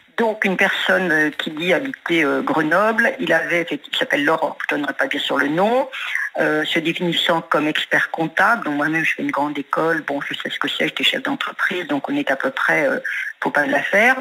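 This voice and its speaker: A fairly low-pitched woman's voice with very wide pitch swings, a moderate pace, and noticeable background noise. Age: 70s. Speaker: caller, retired business owner. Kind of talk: testimony.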